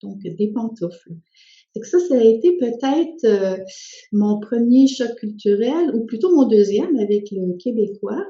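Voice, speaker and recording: In a Spanish accent, a woman speaks fairly slowly in a fairly high, somewhat breathy voice with lively intonation. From Quebec (came from Spain via France at six). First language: Spanish (speaking French). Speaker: social worker and author. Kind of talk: personal testimony. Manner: hesitant, many fillers.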